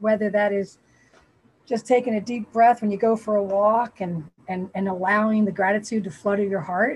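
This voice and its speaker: This woman has an unremarkable speaking voice with an American accent, medium pitch, a moderate pace and fairly even intonation. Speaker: spiritual community member. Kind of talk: group discussion sharing. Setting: video call.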